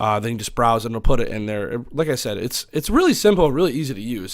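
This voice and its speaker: Very fast speech with lively intonation comes through on a very clean recording with a silent background. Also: man. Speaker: streamer. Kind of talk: tutorial. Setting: home. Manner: loud; hesitant, many fillers.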